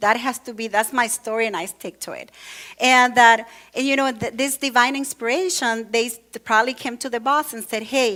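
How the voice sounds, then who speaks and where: The voice carries a Latin American accent. Its pace is moderate. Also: woman. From Venezuela. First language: Spanish. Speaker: church speaker. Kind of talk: sermon. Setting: church with congregation. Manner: conversational, with many fillers.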